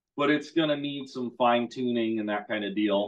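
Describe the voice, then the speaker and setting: Ordinary pitch variation from a male speaker, quiet background behind him. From US Midwest. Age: 30s. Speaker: motorcycle dealer. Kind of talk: casual chat. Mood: relaxed, chatty. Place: garage. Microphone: video call.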